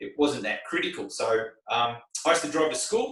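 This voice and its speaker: A man talks with an Australian accent. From Australia, Melbourne (Glen Waverley). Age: 50s. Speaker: race car driver and driving instructor. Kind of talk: interview. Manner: rambling, filler-heavy.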